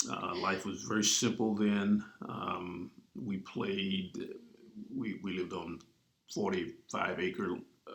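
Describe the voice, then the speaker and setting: Speaking with an Arkansas accent, a man talks at a very slow pace. He leaves long, frequent pauses. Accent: Southern US (Arkansas). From US South, southeast Arkansas. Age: 60s. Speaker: pastor. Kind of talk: interview.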